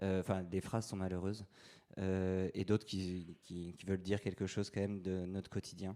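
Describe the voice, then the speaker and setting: Here a man talks in a very deep, low pitch with a dark, mellow tone and monotone, flat intonation. His pace is moderate, and the recording is very clean with a silent background. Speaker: priest giving a talk. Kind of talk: lecture. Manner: halting, many fillers.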